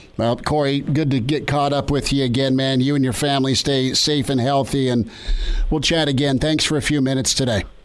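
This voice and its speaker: With noticeable background noise, a man speaks in a fairly high pitch, his intonation fairly even and his loudness very even. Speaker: sports radio host. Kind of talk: sports interview.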